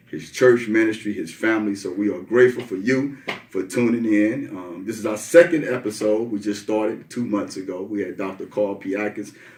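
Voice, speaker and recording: Over noticeable background noise, a fairly low-pitched man talks fairly quickly with hardly any pauses and ordinary pitch variation. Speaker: podcast host. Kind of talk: podcast interview, host questions.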